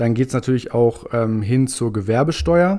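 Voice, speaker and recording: A man's dark, mellow tone at a moderate pace. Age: 20s. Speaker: tax consultancy employee. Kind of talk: casual explanatory chat.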